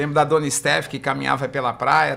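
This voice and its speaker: The man's fairly high voice carries a bright, sharp tone. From Brazil, São Paulo coast (Guarujá). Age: 60s. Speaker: physiotherapist. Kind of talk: podcast interview.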